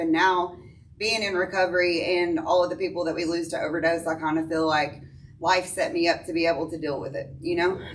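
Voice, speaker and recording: With an American accent, a woman talks at a fairly quick pace, and audible room echo surrounds her voice. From US South, East Tennessee (Sweetwater, Athens). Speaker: person in addiction recovery. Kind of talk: testimony. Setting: church recovery meeting, speaking to audience. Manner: loud.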